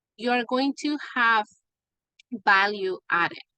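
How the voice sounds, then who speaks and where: With a bright, sharp tone, a woman speaks at a fairly high pitch in dry, close sound with no echo. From Mexico. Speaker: business coach. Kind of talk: online group workshop.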